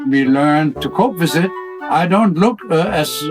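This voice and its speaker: Music plays in the background. A man speaks fairly slowly at a fairly high pitch. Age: 80s+. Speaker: nudist resort owner. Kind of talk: interview answer.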